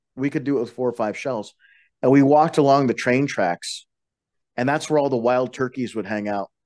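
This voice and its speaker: In an American accent, a man talks at a medium pitch in an ordinary speaking voice against a quiet background. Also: ordinary pitch variation, fairly quick pace. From Colorado, western slope. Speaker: bus driver and martial arts practitioner. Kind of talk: casual chat.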